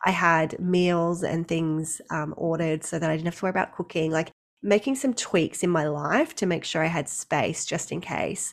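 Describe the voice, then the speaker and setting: Speaking at a moderate pace, a woman has an Australian accent and a fairly low voice. Her pitch variation is ordinary. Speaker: maternity leave coach. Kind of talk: casual interview chat.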